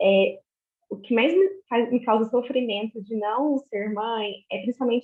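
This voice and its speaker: Her fairly high voice carries ordinary pitch variation as the woman speaks at a fairly slow pace. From Minas Gerais, Brazil (Uberaba). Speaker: obstetric nurse. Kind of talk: casual group video chat. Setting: video call. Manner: hesitant, many fillers and repetitions.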